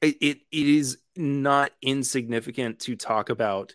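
On a very clean recording with a silent background, a man speaks at a very slow pace with ordinary pitch variation. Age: 20s. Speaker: whiskey podcaster and musician. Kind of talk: casual chat.

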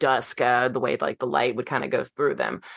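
The woman speaks with vocal fry. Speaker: podcast co-host. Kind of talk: casual chat.

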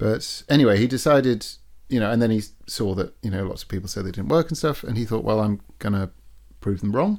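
A man with a fairly low pitch and an English accent talks at a very fast pace with ordinary pitch variation, on a very clean recording with a silent background. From England. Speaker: sailor and guest. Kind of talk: casual interview chat. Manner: conversational, humorous.

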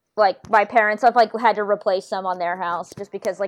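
Heard in a dry, close recording with no echo, a woman with an American accent talks at a moderate pace and medium pitch. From US South, North Carolina (Moore County). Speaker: architecture blogger. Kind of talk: casual chat. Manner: animated.

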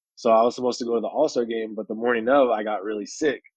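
Very fast speech from a man with an American accent, medium pitch and fairly even intonation. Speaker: pro basketball player. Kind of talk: casual chat.

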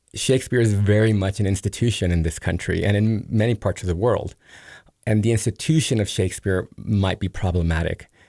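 This man has a Spanish accent and a dark, mellow tone at a fairly low pitch. He talks at a fairly quick pace with ordinary pitch variation. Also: very clean recording, silent background. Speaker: theater director. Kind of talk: interview.

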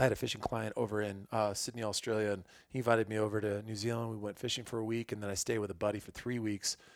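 A man with an American accent, fairly low in pitch, monotone and flat, at a very fast pace with hardly any pauses. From US Midwest, Illinois. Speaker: hunting photographer and fishing guide. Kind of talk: casual chat.

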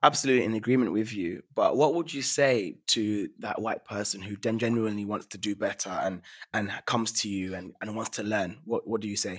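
A man with a normal speaking voice talks at a fairly quick pace, fairly low in pitch. His pitch variation is ordinary, and the recording is very clean with a silent background. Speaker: podcast host. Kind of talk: interview conversation. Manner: thoughtful, hedging with filler words.

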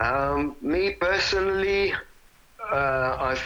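A man talks with ordinary pitch variation while noticeable background noise runs underneath. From Italy. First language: Italian. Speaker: rock drummer. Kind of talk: interview. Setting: phone call. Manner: halting, repeating words.

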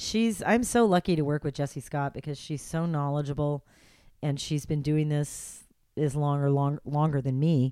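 A woman with a very deep, low pitch and a dark, mellow tone talks at a moderate pace with ordinary pitch variation, recorded very cleanly against a silent background. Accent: American. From Los Angeles, California. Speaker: radio host. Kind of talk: casual interview chat. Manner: friendly, conversational.

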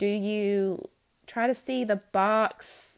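This is a woman speaking in a plain, everyday voice. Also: very clean recording, silent background. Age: 20s. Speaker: podcast host, first grade teacher. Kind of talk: solo podcast monologue. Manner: casual, unedited with frequent fillers.

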